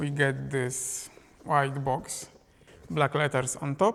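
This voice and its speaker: A man with a non-native accent and a fairly high pitch speaks at a very slow pace with fairly even intonation. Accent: non-native English pronunciation. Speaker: film photography YouTuber, lens reviewer. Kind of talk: product review to camera. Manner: casual, conversational.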